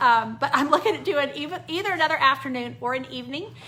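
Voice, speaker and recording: A woman speaks at a very fast pace. Noticeable background noise and audible room echo surround her voice. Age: 60s. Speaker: card-making craft instructor. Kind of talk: live-stream craft tutorial sign-off. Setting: Facebook Live stream. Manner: casual, many filler words.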